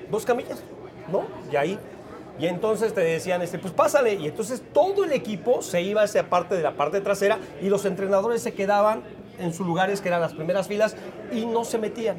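With noticeable background noise behind him, a man with a Mexican accent talks at a fairly quick pace in a high pitch with ordinary pitch variation. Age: 50s. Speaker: former footballer and sports commentator. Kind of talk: casual chat.

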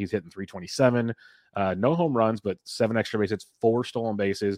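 Speaking at a fairly quick pace, a man with an unremarkable speaking voice is heard in a dry, close sound with no echo. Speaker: podcast host. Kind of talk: casual sports podcast chat. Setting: remote recording.

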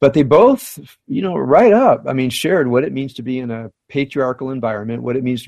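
A man's ordinary speaking voice, medium in pitch, at a fairly quick pace. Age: 60s. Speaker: rabbi. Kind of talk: casual interview. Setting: home.

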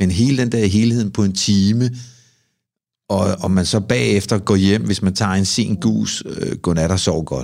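At a fairly slow pace and very even loudness, a man with an unremarkable speaking voice talks in a fairly low pitch with ordinary pitch variation. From Copenhagen, Amager. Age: 50s. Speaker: sauna ritual performer. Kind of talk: casual interview chat.

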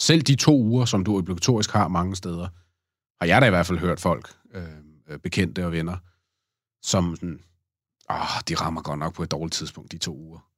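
A man with a very deep, low pitch and ordinary pitch variation speaks at a moderate pace with long, frequent pauses. The recording is very clean, the background silent. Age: 30s. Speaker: podcast guest, father. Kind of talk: casual interview. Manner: halting, many fillers.

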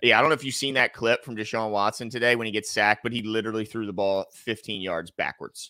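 Very fast speech comes from a man at a medium pitch with a bright, sharp tone. His intonation is fairly even, and the sound is dry and close with no echo. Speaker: sports talk show co-host. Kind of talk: heated debate. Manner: angry, loud, ranting.

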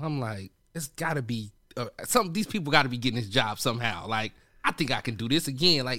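A man talks at a fairly quick pace in a bright, sharp tone. The recording is very clean with a silent background. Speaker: radio host; arena host. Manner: high energy.

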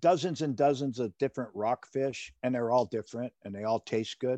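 A man with an American accent speaks in a dark, mellow tone with ordinary pitch variation. The sound is dry and close, with no echo. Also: quiet background. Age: 60s. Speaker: fisherman and seafood seller. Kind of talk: casual interview.

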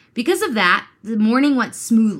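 A woman with an animated tone and lively intonation at a moderate pace, on a very clean recording with a silent background. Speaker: true crime podcast host. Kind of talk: true crime storytelling with casual banter. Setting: studio recording with co-host partner.

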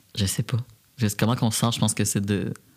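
Here a man speaks with a fairly low pitch. The recording is very clean, with a silent background. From Quebec, Repentigny. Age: 20s. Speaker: community organization director. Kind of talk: interview.

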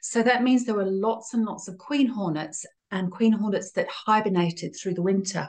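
Somewhat breathy, a woman speaks at a medium pitch and a moderate pace, with ordinary pitch variation. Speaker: beekeeper. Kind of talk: interview.

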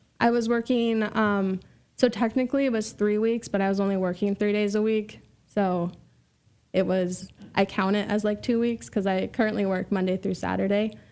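A woman speaks in a plain, everyday voice at a moderate pace with fairly even intonation. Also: medium pitch for a woman. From US Pacific Northwest, Vancouver, Washington. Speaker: entrepreneur and solar sales representative. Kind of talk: casual interview chat.

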